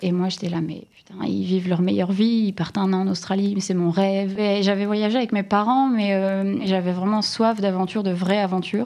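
A woman of medium pitch speaks at a moderate pace with fairly even intonation and hardly any pauses. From northern France, Lille area. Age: 30s. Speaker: content creator. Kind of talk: interview. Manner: halting.

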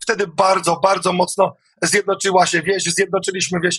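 A man with a Polish accent talks at a moderate pace in a high pitch with a bright, sharp tone. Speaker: farmer and protest leader. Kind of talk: protest speech. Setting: studio interview. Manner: earnest, rallying, emphatic, formal address; uses filler hesitations like 'e'.

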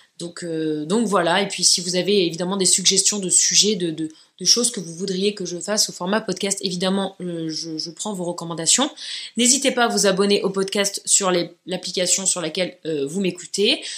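Here is a woman with an ordinary speaking voice at medium pitch. Her pace is moderate and her intonation fairly even. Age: 30s. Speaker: podcaster and YouTuber. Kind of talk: solo podcast monologue, casual.

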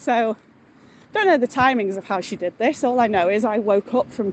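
Over noticeable background noise, a woman with a Mancunian accent talks at a moderate pace in a fairly high pitch. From Salford, northern England. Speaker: caller. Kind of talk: voice note story. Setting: outdoors, walking home.

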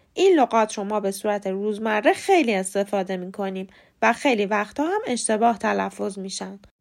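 In a very clean recording with a silent background, a woman with a normal speaking voice talks at a fairly quick pace and medium pitch, with ordinary pitch variation and big swings in loudness. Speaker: English pronunciation teacher, podcast host. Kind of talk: tutorial.

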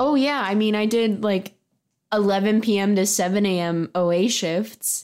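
A woman in a plain, everyday voice, with a medium pitch and ordinary pitch variation. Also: moderate pace. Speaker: podcast co-host. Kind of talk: casual chat.

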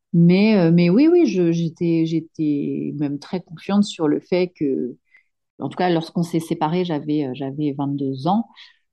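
A woman with a fairly low pitch talks very slowly, her pitch varying in an ordinary way. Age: 30s. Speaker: solo mother sharing her fertility journey. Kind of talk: testimony. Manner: halting, frequent repetitions and hesitations.

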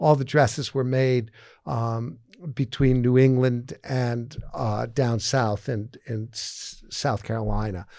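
Speaking with an American accent, a man uses a medium pitch. His pace is very slow. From Massachusetts, outside Boston. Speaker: fashion executive and investor. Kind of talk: interview. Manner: halting, many fillers.

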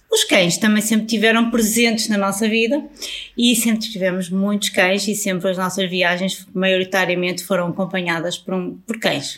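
A normal speaking voice belongs to this woman, who talks at a moderate pace. Her pitch is medium and her intonation stays fairly even. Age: 40s. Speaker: travel influencer. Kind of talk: casual interview.

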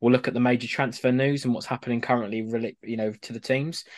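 A man's monotone, flat delivery over a quiet background. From Essex, England. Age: 20s. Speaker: football podcast co-host. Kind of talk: casual chat.

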